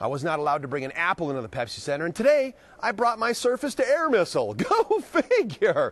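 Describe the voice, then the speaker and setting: The sound is dry, with no echo. A man talks at a very fast pace. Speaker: field reporter. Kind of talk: live news report. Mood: jokey, playful. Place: hall. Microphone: lapel.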